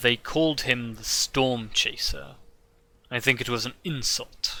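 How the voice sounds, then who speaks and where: A man's put-on character voice at a medium pitch and a fairly slow pace. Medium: actual play. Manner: formal, measured.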